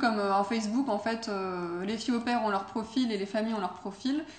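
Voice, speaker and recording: Fairly high-pitched and somewhat breathy, a woman speaks at a fairly quick pace. Her intonation is fairly even, and room echo is audible. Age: 20s. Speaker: former au pair, student. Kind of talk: interview. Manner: hesitant, many fillers.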